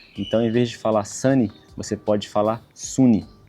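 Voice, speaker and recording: Music plays in the background. A man talks in a fairly low pitch with monotone, flat intonation. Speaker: travel vlogger. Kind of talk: tutorial. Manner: casual.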